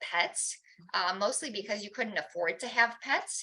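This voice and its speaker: Lively intonation runs through a woman's fairly high voice, which has a bright, sharp tone. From Romania, Bucharest. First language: Romanian. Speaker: guest speaker. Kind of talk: personal talk. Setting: church chapel with audience. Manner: halting, many fillers.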